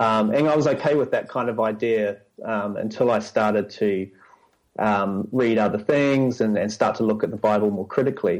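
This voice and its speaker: A man with a New Zealand accent talks at a moderate pace with fairly even intonation. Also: medium pitch for a man. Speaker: church staff member. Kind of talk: casual interview chat.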